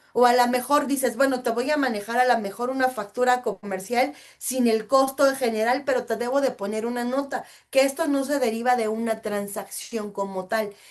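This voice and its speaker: The woman's voice is high in pitch. Her intonation stays fairly even. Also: moderate pace. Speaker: customs and foreign trade instructor. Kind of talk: webinar lecture.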